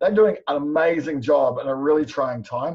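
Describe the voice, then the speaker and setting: Somewhat breathy and fairly high in pitch, a man speaks with a New Zealand accent. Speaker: business coach. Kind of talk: webinar presentation. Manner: fast.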